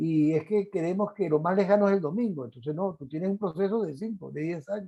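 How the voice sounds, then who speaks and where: A man's high-pitched voice, dark and mellow in tone, at a fairly quick pace with ordinary pitch variation. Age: 60s. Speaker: lecturer. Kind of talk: lecture. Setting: online conference.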